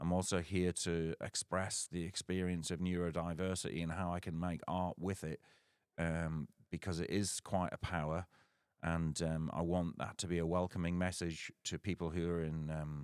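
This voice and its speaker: A man talks at a moderate pace in a very deep, low pitch with monotone, flat intonation. The recording is very clean with a silent background and a dry, close sound with no echo. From northeast England (Sunderland area). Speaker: musician and novelist. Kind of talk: casual livestream talk. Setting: livestream. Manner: hesitant, many fillers.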